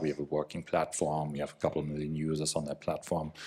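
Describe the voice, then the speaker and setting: A man speaks with a European accent. The recording is very clean, with a silent background. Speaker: company representative, former attorney. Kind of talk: panel discussion.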